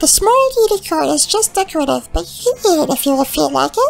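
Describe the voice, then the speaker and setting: The voice is extremely high in pitch and moves at a fairly quick pace. Light background noise can be heard. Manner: casual, breezy.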